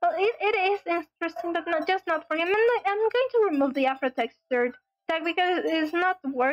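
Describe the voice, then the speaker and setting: At an extremely high pitch, a woman with a Spanish accent speaks at a fairly quick pace and very even loudness, in a dry, close sound with no echo. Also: lively intonation. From Latin America. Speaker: gaming streamer. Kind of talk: live stream gameplay commentary. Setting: live stream. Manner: halting, repeats words.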